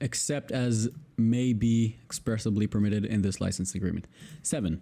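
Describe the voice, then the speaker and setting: A man talks at a moderate pace with a dark, mellow tone and fairly low pitch. His intonation stays fairly even and his loudness very even. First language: Hebrew. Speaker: YouTuber, video editor. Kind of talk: reading aloud. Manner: halting.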